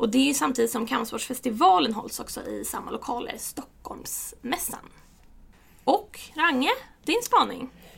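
A woman's high voice with very wide pitch swings. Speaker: podcast host. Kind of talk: casual chat.

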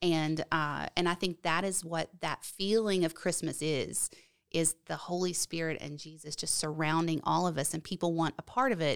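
With a plain, everyday voice and an American accent, a woman speaks at a moderate pace and a fairly low pitch with fairly even intonation, the sound dry and close with no echo on a very clean recording with a silent background. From West Virginia. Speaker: church member. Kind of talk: casual chat.

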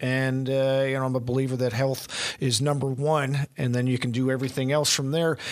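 A man with a Canadian accent speaks at a moderate pace and medium pitch. Noticeable background noise is present. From New Brunswick. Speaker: podcast host. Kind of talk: casual interview. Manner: animated, enthusiastic.

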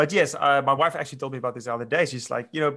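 This man has a South African accent and a medium pitch. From South Africa, grew up on a farm. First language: Afrikaans. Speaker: winemaker. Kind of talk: casual interview chat.

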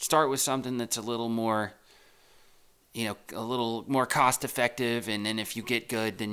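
Against a silent background on a very clean recording, a man with an American accent talks at a moderate pace in a medium pitch with a bright, sharp tone. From Texas. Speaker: real estate agent podcaster. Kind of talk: casual solo monologue. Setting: home recording. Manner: rambling, conversational.

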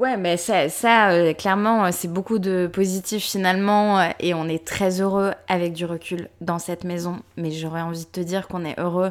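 On a very clean recording with a silent background, a woman with a plain, everyday voice speaks fairly slowly in a fairly low pitch with fairly even intonation. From Paris, France. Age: 30s. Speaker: podcast co-host and press officer. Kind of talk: casual chat.

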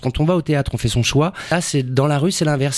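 He has a plain, everyday voice. The man moves along at a fairly quick pace, and his pitch varies in an ordinary way. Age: 40s. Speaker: actor. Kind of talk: casual chat.

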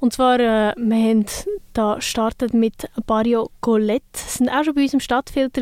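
An ordinary speaking voice from a woman, fairly high in pitch, fairly even in intonation, with a dry, close sound and no echo. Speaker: radio host. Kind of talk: casual chat.

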